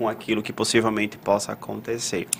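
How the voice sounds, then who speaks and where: The voice is a man's. Background noise is noticeable throughout. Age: 30s. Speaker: psychologist, podcast co-host. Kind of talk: live panel discussion.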